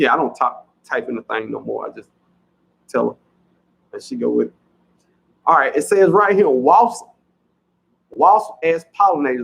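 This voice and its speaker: A man with a strong Southern US accent talks at a moderate pace, with big swings in loudness and long, frequent pauses. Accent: heavy Southern US. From US South. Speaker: farming channel host. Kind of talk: livestream chat reading comments. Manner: casual, chatty.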